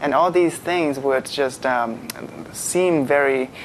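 A man with a Chinese accent and fairly high pitch, ordinary pitch variation, a very slow pace and light background noise. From China. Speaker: graduate student. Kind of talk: live panel discussion. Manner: halting. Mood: friendly, relaxed, smiling. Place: studio. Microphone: lapel.

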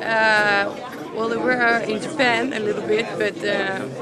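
A woman speaks with a Dutch accent. The sound is dry with no echo, but the background noise is loud. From Netherlands. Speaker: fighter. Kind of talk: post-fight interview. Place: hall.

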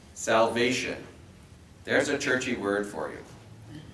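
A man talks with fairly even intonation over light background noise. Audible room echo surrounds his voice. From Quebec. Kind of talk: lecture. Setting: stage with audience. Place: meeting room. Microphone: camera far.

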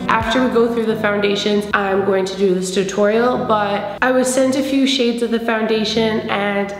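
A woman talks at a moderate pace with hardly any pauses and fairly even intonation. Audible room echo and faint background music accompany her. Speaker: beauty vlogger. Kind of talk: casual vlog chat. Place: home room.

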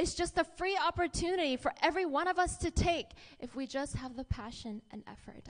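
A woman speaks in an upbeat, enthusiastic tone at a fairly quick pace. The background is quiet. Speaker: network marketing presenter. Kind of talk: pitchman presentation. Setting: stage with audience. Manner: upbeat, enthusiastic, engaging the audience with questions. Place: hall. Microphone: handheld.

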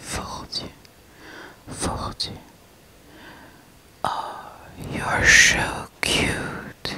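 A woman is whispering. Her words come out in a whisper throughout. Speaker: ASMR creator. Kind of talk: ASMR whispering of affectionate words. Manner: whispered, soft, repeating words. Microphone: studio mic.

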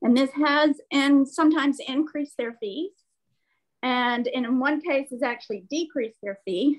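A woman speaks in a high voice against a quiet background. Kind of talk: staff report at meeting. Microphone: video call.

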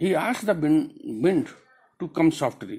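A man talks very slowly in a somewhat breathy voice. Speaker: teacher. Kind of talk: lecture explaining a poem. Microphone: phone near.

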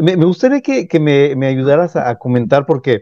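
Speaking at a fairly slow pace, a man uses a fairly high pitch, a dark, mellow tone and lively intonation. The sound is dry with no echo, set against a quiet background. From Mexico. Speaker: YouTube interviewer. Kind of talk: interview; channel outro. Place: home room.

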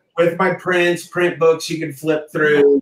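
Audible room echo surrounds a man speaking with an American accent. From rural Kansas. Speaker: mural artist and musician; guest. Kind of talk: casual chat. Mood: relaxed, laughing. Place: home room. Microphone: video call.

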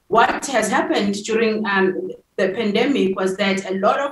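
A woman talks with fairly even intonation against a quiet background with audible room echo. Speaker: tech nonprofit founder and CEO. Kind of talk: interview. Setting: remote call from an airport. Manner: hesitant, many fillers. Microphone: video call.

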